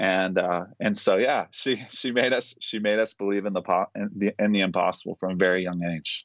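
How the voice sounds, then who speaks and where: A man's ordinary speaking voice, fairly low in pitch, with fairly even intonation, a moderate pace and hardly any pauses. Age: 30s. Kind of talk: interview.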